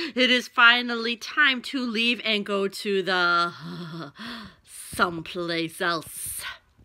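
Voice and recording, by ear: A woman puts on a booming character voice at medium pitch. She speaks at a very slow pace.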